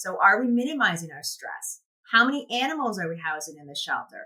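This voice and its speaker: Her tone is bright and sharp. The woman's pitch swings very widely. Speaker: animal shelter worker. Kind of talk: conference presentation. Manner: halting, with fillers.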